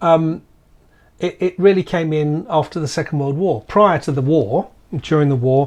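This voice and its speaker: Against a quiet background, a man with a British accent and a fairly high pitch talks at a moderate pace with ordinary pitch variation. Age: 60s. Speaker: podcast co-host. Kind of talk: casual chat. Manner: halting.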